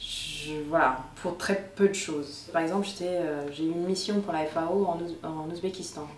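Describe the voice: At a moderate pace, a woman speaks with a fairly low pitch, a slightly mellow tone and fairly even intonation, and audible room echo surrounds her voice.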